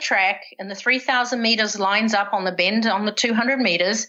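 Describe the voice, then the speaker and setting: A woman with a New Zealand accent, medium in pitch, bright and sharp in tone, at a fairly quick pace against a quiet background. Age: 60s. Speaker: retired professional distance runner. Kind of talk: podcast interview, personal storytelling.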